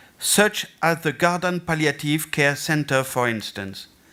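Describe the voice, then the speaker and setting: A man talks at a fairly slow pace with a French accent and a fairly high pitch. His tone is bright and sharp, and his intonation is lively. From France. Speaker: festival and theatre director. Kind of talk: conference presentation. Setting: stage with audience. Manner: halting.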